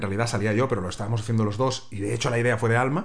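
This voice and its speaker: A somewhat breathy man with an animated tone, in audible room echo. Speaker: podcast co-host and TV reporter. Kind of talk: casual chat. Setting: recording at home, sharing one mic.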